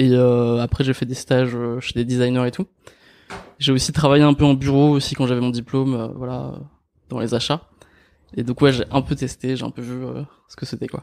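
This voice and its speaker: A man speaks at medium pitch and a moderate pace, in a monotone with flat intonation. His loudness swings widely, and long pauses come often. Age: 20s. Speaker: YouTuber on personal development. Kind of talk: casual chat.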